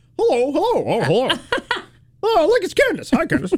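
A man does a put-on character voice at an extremely high pitch, with very wide pitch swings and a fairly quick pace. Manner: silly, playful, teasing.

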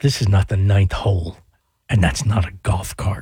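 Putting on a character voice, a man talks at a moderate pace with very even loudness, ordinary pitch variation and a fairly low pitch. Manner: tough, gruff.

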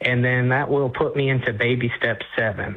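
A man speaks at a moderate pace and medium pitch. His intonation stays fairly even.

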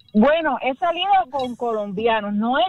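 Here a woman with a Cuban accent talks at a moderate pace. Her voice is high-pitched, with lively intonation.

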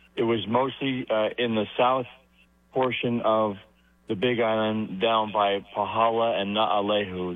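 At a fairly slow pace, a man with a medium pitch talks in a fairly even intonation.

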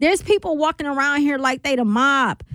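The pace is moderate and the pitch varies in an ordinary way. The tone is bright and sharp. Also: woman, high pitch for a woman.

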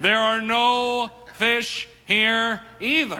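In a loud, put-on character voice, a man speaks at an extremely high pitch with monotone, flat intonation.

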